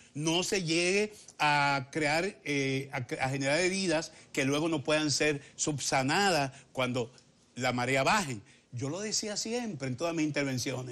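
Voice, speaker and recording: A man's bright, sharp voice, fairly high in pitch, at a fairly slow pace. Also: ordinary pitch variation. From Dominican Republic. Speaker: politician. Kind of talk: political interview. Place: studio. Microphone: lapel.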